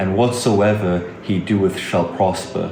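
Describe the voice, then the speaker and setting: There is noticeable background noise. A man speaks fairly slowly with a fairly low pitch. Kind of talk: scripture reading.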